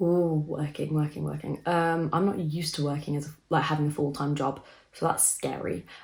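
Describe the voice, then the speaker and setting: At a moderate pace, a woman with a very deep, low pitch speaks in a flat, monotone way that is somewhat breathy, in a very clean recording with a silent background. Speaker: vlogger. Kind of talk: casual chat.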